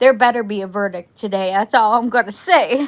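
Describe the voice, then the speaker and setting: On a very clean recording with a silent background, a woman sounds nervous, her pitch varying in an ordinary way. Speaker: true crime livestream host. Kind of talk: casual livestream chat. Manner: chatty, halting; nervous voice.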